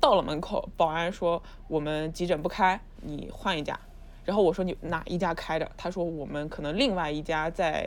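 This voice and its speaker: A woman speaks in a plain, everyday voice at a moderate pace. Her pitch is fairly low, with ordinary pitch variation. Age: 30s. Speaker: new media video director. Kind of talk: casual chat.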